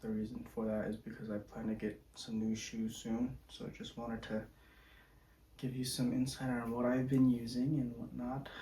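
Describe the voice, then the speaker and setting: Quiet, somewhat breathy man's voice at medium pitch, monotone and flat, moderate pace. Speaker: volleyball player and shoe reviewer. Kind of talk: product review monologue. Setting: home at night, others asleep. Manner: speaking quietly; casual, with fillers.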